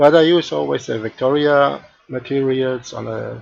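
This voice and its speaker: A man talks with a non-native accent and fairly even intonation. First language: not English. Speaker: 3D art tutor streamer; live streamer doing a software demo. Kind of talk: live-stream tutorial; tutorial. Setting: live stream. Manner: halting, many fillers. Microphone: headset.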